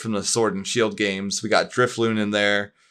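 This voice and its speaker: A man with an American accent speaks in a medium pitch with a bright, sharp tone, captured on a very clean recording with a silent background. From US Northeast (Pittsburgh, Pennsylvania). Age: 20s. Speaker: gaming writer and streamer. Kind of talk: casual chat. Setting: live stream.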